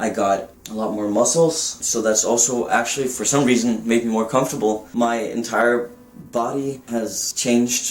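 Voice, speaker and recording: Delivery is at a moderate pace and fairly even in intonation, with noticeable background noise present. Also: man. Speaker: vlogger documenting gender transition. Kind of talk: personal vlog.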